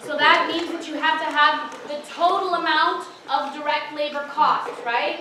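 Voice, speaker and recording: With a high pitch and a raised, projected voice, a woman speaks at a moderate pace amid audible room echo. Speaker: tutor leading exam review session. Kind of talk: lecture.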